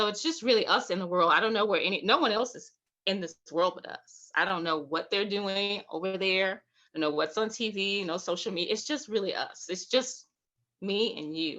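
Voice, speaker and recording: A woman's animated voice with an Alabama accent, medium pitch, a bright, sharp tone, lively intonation and a moderate pace. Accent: Southern US (Alabama). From Alabama, US South. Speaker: poet and writing workshop leader. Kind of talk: online writing workshop.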